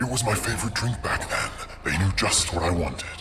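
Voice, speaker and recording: Against clear background noise, a man puts on a character voice with a fairly low pitch. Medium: audio drama. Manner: disjointed, dreamlike rambling.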